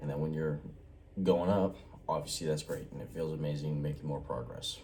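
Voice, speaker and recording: Audible room echo surrounds a man who speaks at a moderate pace in a very deep, low voice. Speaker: vlogger. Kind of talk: casual vlog monologue. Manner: quiet, keeping voice down; casual, hesitant with fillers.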